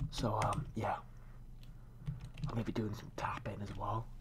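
A moderate pace, with light background noise underneath. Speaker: gamer. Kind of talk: ASMR gaming talk. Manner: whispered. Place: home room. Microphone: headset.

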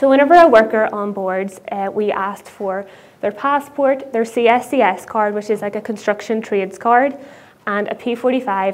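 This woman speaks at a moderate pace with ordinary pitch variation. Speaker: conference speaker. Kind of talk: conference talk. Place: stage. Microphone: lapel.

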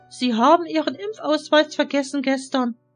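A woman puts on a robotic character voice, high in pitch, at a moderate pace. Faint music plays in the background. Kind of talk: formal standard High German, no dialect. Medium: read story. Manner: mechanical, monotone, coldly friendly.

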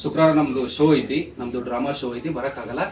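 A man speaks with ordinary pitch variation. Room echo is audible, and background noise is noticeable. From North Karnataka, Bijapur district. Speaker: stage and film actor. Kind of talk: press meet interview. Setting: press conference. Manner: animated storytelling.

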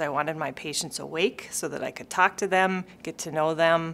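A woman's bright, sharp tone comes through at a fairly low pitch with fairly even intonation. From Minnesota. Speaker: sports medicine physician. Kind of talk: interview answer. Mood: warm, friendly. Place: office.

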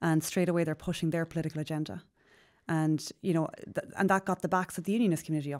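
A woman with an Irish accent speaks at a very fast pace and a fairly low pitch, with fairly even intonation against a quiet background. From Ireland. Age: 30s. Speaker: politician. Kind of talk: interview. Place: studio. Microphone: studio mic.

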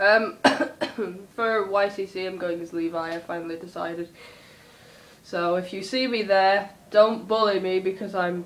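A woman speaks at a fairly slow pace, with big swings in loudness. Her pitch shows ordinary variation. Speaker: vlogger. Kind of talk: casual vlog chat. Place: home room. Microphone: phone near.

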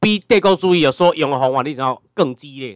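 A man with an ordinary speaking voice talks at a moderate pace in a fairly high pitch, his intonation lively and the sound dry and close with no echo. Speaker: lecturer. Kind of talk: lecture. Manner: filler-heavy, repetitive tag questions.

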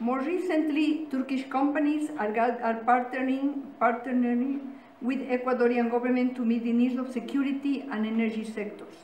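A woman's high-pitched voice at a moderate pace with fairly even intonation, audible room echo and light background noise. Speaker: speaker. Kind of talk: formal speech. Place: meeting room. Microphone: podium.

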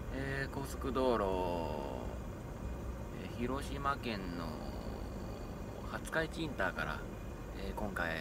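Loud background noise sits behind a man whose voice comes through dry, with no echo. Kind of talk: casual vlog chat. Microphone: phone near.

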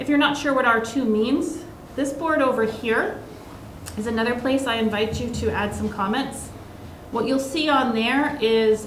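A woman talks with ordinary pitch variation. Audible room echo and light background noise surround her voice. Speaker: presenter. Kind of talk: public meeting presentation. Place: meeting room. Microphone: podium.

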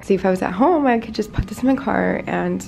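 A woman talks at a very fast pace over light background noise. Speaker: vlogger. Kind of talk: casual vlog chat. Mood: cheerful, light laughs. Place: home room. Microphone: phone near.

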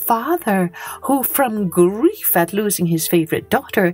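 Lively intonation in an unforced reading voice

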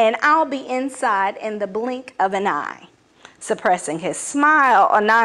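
Words delivered in an unforced reading voice

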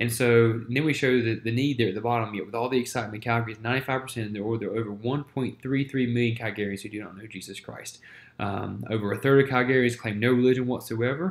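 In an American accent, the speech runs at a very fast pace with fairly even intonation and big swings in loudness. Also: man, medium pitch for a man. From US South, Winston-Salem, North Carolina; North Carolina. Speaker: church planter and ministry teacher; ministry teacher. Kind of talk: lecture. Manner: halting, many fillers. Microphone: webcam.

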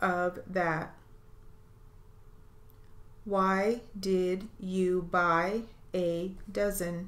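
Monotone and flat, a woman speaks at a very slow pace. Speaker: steno dictation reader. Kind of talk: dictation drill.

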